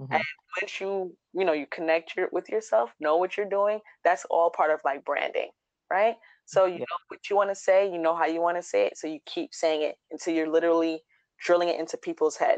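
Fairly low pitch for a woman, a normal speaking voice, ordinary pitch variation and a fairly quick pace before a quiet background. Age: 30s. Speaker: DIY blogger. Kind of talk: casual chat.

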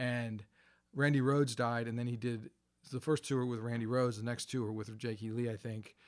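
Using an unremarkable speaking voice, a man speaks at a moderate pace and medium pitch with fairly even intonation, recorded very cleanly against a silent background. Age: 50s. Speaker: college lecturer and podcast co-host. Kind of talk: casual chat. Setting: in a basement room.

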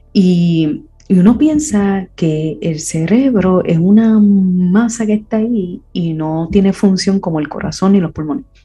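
A woman at a fairly slow pace with hardly any pauses, music playing in the background. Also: medium pitch for a woman, lively intonation. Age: 50s. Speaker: podcast host. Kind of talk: personal reflective monologue. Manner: hesitant, many fillers.

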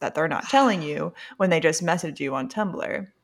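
With vocal fry and a fairly low pitch, a woman speaks at a moderate pace. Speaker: podcast co-host. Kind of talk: casual chat.

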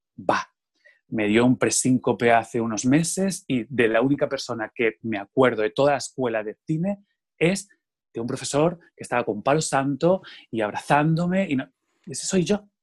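A man's ordinary speaking voice, medium-pitched, with lively intonation at a moderate pace. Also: dry, close sound with no echo. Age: 40s. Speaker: theatre artist. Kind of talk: interview conversation.

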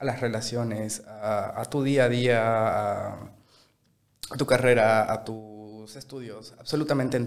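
With a plain, everyday voice, this man keeps his intonation fairly even at a medium pitch. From Bolivia, Sucre. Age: 20s. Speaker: chef. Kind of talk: casual interview.

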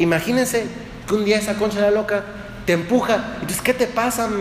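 With a central Mexican accent, a man speaks in a high pitch amid noticeable background noise and audible room echo. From Mexico, Dolores Hidalgo, Guanajuato. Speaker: priest. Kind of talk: sermon.

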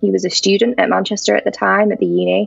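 A woman with a North Welsh accent, over noticeable background noise. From North Wales. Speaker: cancer survivor and charity worker. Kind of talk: testimony.

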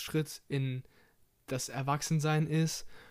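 A man's fairly high-pitched, monotone voice with flat intonation at a moderate pace, in a very clean recording with a silent background. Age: 20s. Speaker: podcast host and bank trainee. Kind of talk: casual solo podcast monologue.

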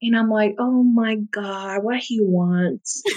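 A woman with a Puerto Rican accent speaks in a fairly high pitch with ordinary pitch variation. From Puerto Rico. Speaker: podcast guest sharing life story. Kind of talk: personal testimony in interview.

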